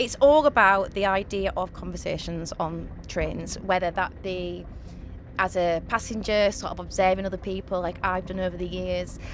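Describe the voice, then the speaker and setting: A woman talking at a moderate pace, with noticeable background noise. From Hull, East Yorkshire. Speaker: actress and podcast host. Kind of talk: casual chat. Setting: on a train.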